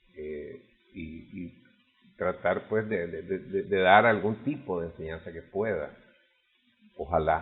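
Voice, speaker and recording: A man with a very deep, low pitch talks at a very slow pace. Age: 70s. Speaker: first-time author presenting his memoir. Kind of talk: interview. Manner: halting, many repetitions and fillers.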